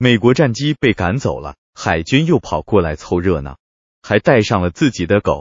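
At a moderate pace, a man with a fairly low pitch speaks in very wide pitch swings. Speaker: political commentary narrator. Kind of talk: scripted narration.

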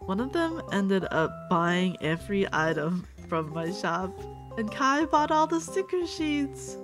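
Clear music can be heard behind the speaker. She is a woman talking very slowly. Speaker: sticker artist and small business owner. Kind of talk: casual talk to camera, packing ASMR. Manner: slow, calming, soft. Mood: grateful, warm. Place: home room.

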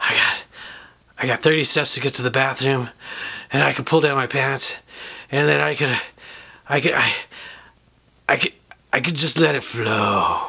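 A man puts on a raspy character voice at a medium pitch and a moderate pace. He takes long, frequent pauses. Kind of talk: comic storytelling monologue. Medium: puppet.

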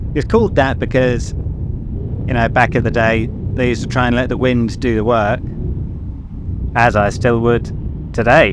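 A man speaks at a moderate pace in a flat monotone, with long, frequent pauses. The sound is dry with no echo, and background noise is noticeable. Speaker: boater vlogger. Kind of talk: casual vlog chat. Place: boat. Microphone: phone near.

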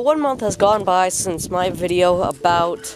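Clear background music and a dry, echo-free sound. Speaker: young backyard farmer vlogger. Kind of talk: casual vlog tutorial. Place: garden. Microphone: phone near.

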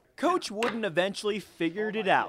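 A high-pitched man with ordinary pitch variation at a fairly quick pace, amid noticeable background noise. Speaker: TV sports reporter. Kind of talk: TV news feature narration.

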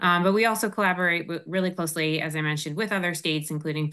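A woman speaks in a bright, sharp tone with ordinary pitch variation against a quiet background. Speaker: air quality policy advisor; presenter. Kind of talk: technical presentation. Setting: video call. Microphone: video call.

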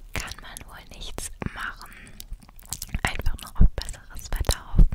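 Whispering and soft-spoken, a woman speaks at a fairly slow pace in dry sound with no echo, over loud background noise. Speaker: ASMR creator. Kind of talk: soft-spoken ASMR chat. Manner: soft ASMR whisper close to mic. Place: home room. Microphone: studio mic.

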